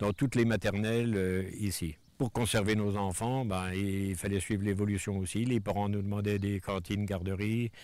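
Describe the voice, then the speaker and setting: A man with a fairly low pitch speaks in a monotone, flat intonation at a moderate pace, with hardly any pauses. His loudness stays very even, and the recording is very clean with a silent background. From France, Vosges (La Bourgonce). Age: 70s. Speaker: village mayor. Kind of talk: interview. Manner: hesitant, many fillers.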